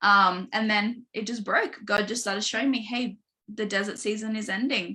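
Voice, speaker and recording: In an Australian accent, a woman speaks with a bright, sharp tone. Her intonation is fairly even. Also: fairly high pitch for a woman. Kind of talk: podcast interview, personal testimony. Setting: live online stream. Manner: fast; casual, filler-heavy.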